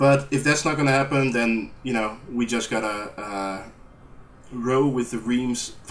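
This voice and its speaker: Speaking with a strong Dutch accent, the man uses a medium pitch, a fairly slow pace and fairly even intonation. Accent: thick Dutch. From Netherlands. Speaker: gaming YouTuber. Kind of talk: post-recorded gameplay commentary. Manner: hesitant, many fillers. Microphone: poor audio, lots of background noise.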